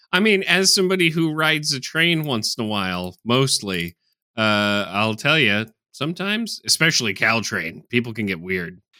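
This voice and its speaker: The pitch swings very widely in a bright, sharp tone at a moderate pace. The recording is very clean, with a silent background. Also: man, medium pitch for a man. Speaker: podcast co-host. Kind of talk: casual chat. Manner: sarcastic-sounding.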